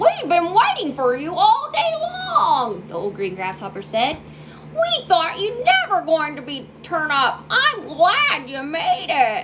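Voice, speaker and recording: Over loud background noise, a woman does a put-on character voice at an extremely high pitch, with very wide pitch swings and a fairly slow pace. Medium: read story. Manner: slow, scornful.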